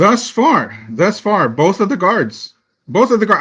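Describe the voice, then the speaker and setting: Over a quiet background, a man projects a raised, high-pitched voice with a bright, sharp tone, very wide pitch swings, and a fairly slow pace. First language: not English. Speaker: fan podcast panelist. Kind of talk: casual sports discussion. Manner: animated.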